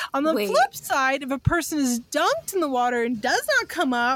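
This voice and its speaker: A woman speaks with a dry, close sound with no echo. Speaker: podcast co-host. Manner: laughs often, casual and joking.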